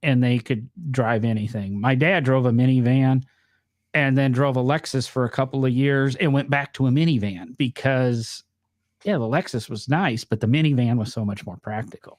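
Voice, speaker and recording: With a northern US accent, a man speaks at a moderate pace in a very clean recording with a silent background. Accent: northern US accent, noticeable on some words. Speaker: podcast host. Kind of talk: casual chat.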